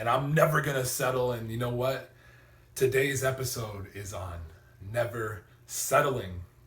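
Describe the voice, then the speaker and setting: A man speaks at a fairly slow pace with a medium pitch and ordinary pitch variation. Audible room echo surrounds his voice. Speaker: motivational vlogger. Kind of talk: motivational talk. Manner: energetic.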